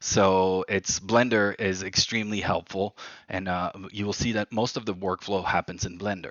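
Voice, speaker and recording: A man's fairly low voice with a French accent, at a moderate pace. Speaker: livery design workshop leader. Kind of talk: online workshop presentation. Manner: hesitant, many fillers.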